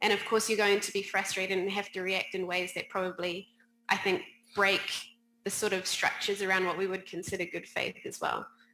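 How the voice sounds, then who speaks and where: A woman speaks fairly quickly at a medium pitch in a New Zealand accent, her intonation monotone and flat. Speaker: players' union policy director. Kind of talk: panel discussion.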